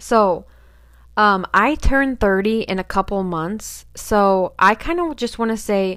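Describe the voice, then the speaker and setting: With a normal speaking voice, a woman talks at a fairly high pitch with lively intonation, recorded very cleanly against a silent background. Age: 20s. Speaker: podcast host. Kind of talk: casual monologue.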